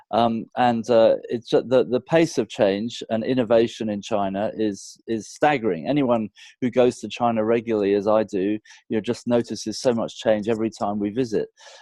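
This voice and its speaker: In a British accent, a man speaks at a moderate pace with a medium pitch, a dark, mellow tone and fairly even intonation, the sound dry and close with no echo against a quiet background. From UK. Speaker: business consultant. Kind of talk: interview.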